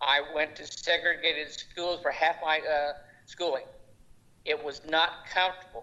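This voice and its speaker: A man's fairly high voice, fairly slow and monotone, with flat intonation. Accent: Oklahoma. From Oklahoma. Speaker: school board member. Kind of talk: board meeting debate. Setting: remote video meeting.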